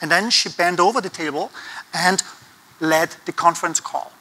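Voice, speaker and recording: His high pitch comes with a bright, sharp tone and ordinary pitch variation as this man speaks. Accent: Austrian. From Austria. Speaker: conference speaker on design thinking. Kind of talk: conference talk. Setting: stage with audience.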